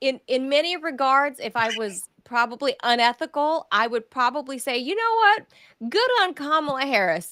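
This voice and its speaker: A woman with a Southern US accent projects a raised voice with a high pitch and a bright, sharp tone. Her pitch swings very widely while her pace stays moderate. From California. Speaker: journalist and show host. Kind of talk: political interview chat.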